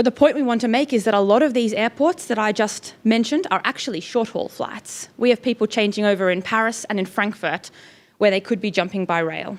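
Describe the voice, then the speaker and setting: In an Australian accent, a woman with a fairly high voice talks at a fairly quick pace with ordinary pitch variation. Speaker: climate campaigner. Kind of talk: panel presentation.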